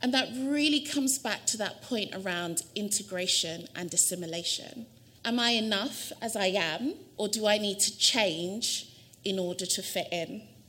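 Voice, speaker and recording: A woman's lively intonation in a London accent, with audible room echo. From South London. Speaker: university administrator giving a lecture. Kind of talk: lecture.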